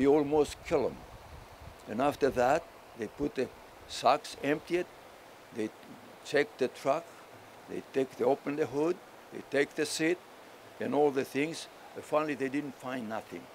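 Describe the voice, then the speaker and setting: A man with a strong Greek accent and a fairly high voice, at a moderate pace with long, frequent pauses. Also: ordinary pitch variation. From Crete, Greece. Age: 80s+. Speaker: war veteran. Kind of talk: acceptance speech. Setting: ceremony at a memorial. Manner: halting.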